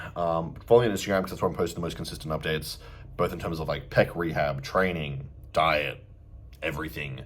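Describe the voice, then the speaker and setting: The speaker talks at a very fast pace. The pitch varies in an ordinary way. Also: man. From Australia. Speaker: bodybuilder and fitness coach. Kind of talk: casual vlog update. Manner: casual, filler-heavy.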